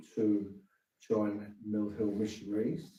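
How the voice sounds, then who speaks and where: Amid audible room echo, a man with a southern English accent speaks very slowly in a dark, mellow tone at a fairly low pitch. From England, southeast London. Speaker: missionary priest. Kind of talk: interview. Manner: halting.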